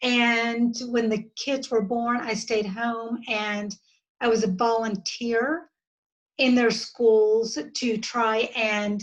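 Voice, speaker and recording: Speaking at a very slow pace in a Southern US accent, a woman uses a fairly high voice and fairly even intonation. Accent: Southern US drawl. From US South (Georgia, Florida, Alabama). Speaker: podcast guest, parent education advocate. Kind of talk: casual interview chat.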